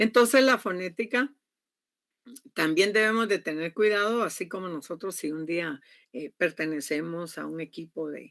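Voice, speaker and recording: A woman speaks at a moderate pace and a fairly low pitch. Her intonation is lively, and her loudness swings widely. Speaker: university lecturer. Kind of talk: online class lecture.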